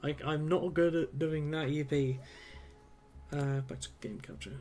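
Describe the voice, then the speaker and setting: Fairly level intonation, with background music underneath. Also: man. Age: 20s. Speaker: video game streamer. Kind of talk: live gameplay commentary. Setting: live stream. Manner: casual, rambling with fillers.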